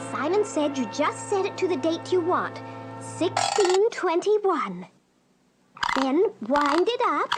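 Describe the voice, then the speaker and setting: A female-sounding cartoonish character voice, extremely high in pitch, speaks at a fairly slow pace. Faint music plays in the background. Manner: sing-song, fretful.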